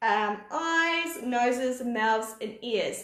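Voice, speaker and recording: Through audible room echo, a woman speaks with a New Zealand accent in a high pitch. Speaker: art teacher. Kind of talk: live online drawing class for kids. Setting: live video stream. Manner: animated.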